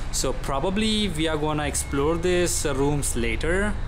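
A man's pitch varies in an ordinary way as he talks against noticeable background noise. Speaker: exploration vlogger. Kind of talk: casual vlog chat. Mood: nervous, excited. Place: hall. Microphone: phone near.

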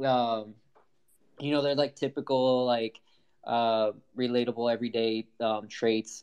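At a moderate pace, a man with an American accent uses a normal speaking voice, medium in pitch, with fairly even intonation. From Southern California. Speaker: digital artist. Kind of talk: casual chat.

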